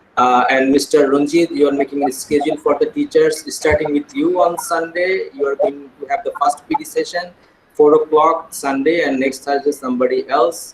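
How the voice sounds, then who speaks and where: Speech with fairly even intonation and hardly any pauses runs over noticeable background noise. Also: man, fairly high pitch for a man. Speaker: school administrator leading teacher training. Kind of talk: online staff meeting. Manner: fast.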